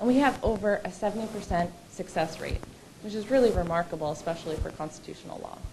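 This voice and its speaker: Talking at a very fast pace, a woman keeps a medium pitch with ordinary pitch variation amid noticeable background noise and audible room echo. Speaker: lawyer at a legal advocacy group. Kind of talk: conference presentation. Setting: stage with audience. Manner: loud.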